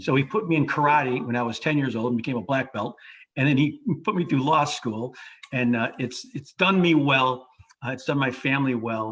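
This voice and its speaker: Talking at a fairly quick pace, a man with an American accent has a medium pitch and an unremarkable speaking voice. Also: ordinary pitch variation. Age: 60s. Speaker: lawyer. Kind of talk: panel discussion.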